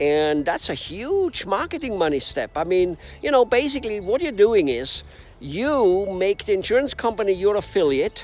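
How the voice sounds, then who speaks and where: Here a man talks at a moderate pace with lively intonation. Background noise is noticeable. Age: 60s. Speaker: business coach. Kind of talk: video monologue. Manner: halting, many fillers.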